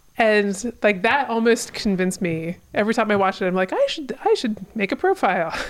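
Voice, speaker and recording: With hardly any pauses, a woman speaks in a fairly high pitch with ordinary pitch variation. The background noise is noticeable. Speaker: podcast co-host. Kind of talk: casual chat.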